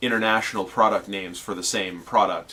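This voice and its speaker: A bright, sharp tone marks this man's speech. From Canada. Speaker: scale model hobbyist video host. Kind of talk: tutorial. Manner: casual with many fillers and hesitations.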